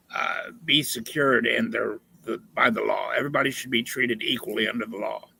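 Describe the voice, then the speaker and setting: Fairly quick speech from a man with an American accent. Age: 60s. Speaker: debate opponent. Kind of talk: heated debate. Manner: animated.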